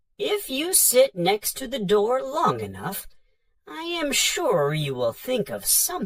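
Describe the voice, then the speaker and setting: This man's put-on character voice reaches an extremely high pitch. His pace is fairly slow. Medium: read story. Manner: hesitant, polite, fumbling.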